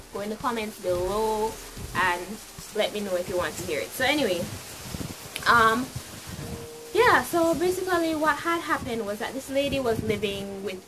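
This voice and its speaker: With a Jamaican accent, a woman at a fairly high pitch speaks at a moderate pace with very wide pitch swings and long, frequent pauses, amid audible room echo and noticeable background noise. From Jamaica (Clarendon). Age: young. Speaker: YouTuber. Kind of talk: storytime vlog. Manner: animated.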